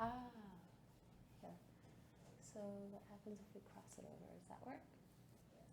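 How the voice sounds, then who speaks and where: A woman speaks with long, frequent pauses against noticeable background noise. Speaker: breathwork and yoga instructor. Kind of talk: guided breathwork class instruction. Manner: calm, instructive.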